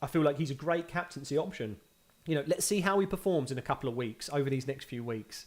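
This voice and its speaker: Speaking at a very fast pace in a Cockney accent, a man uses a fairly high pitch with ordinary pitch variation. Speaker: fantasy football YouTuber. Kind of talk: live stream Q&A. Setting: live video stream. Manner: casual, conversational.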